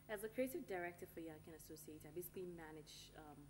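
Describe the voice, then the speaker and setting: Speech comes at a very fast pace in an American accent. Pitch varies in an ordinary way over music in the background. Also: woman. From Ghana. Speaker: marketing consultancy director. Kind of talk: TV interview. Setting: TV studio.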